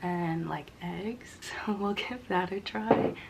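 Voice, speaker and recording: A woman whispers and mumbles over noticeable background noise. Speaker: vlogger. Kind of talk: casual vlog talk to camera. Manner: whispering; mumbling.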